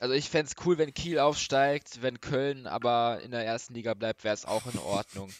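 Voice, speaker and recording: A man talks with a plain, everyday voice at a medium pitch and moderate pace, using ordinary pitch variation and hardly any pauses, in a dry, close sound with no echo. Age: young. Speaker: football podcast co-host. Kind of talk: casual chat.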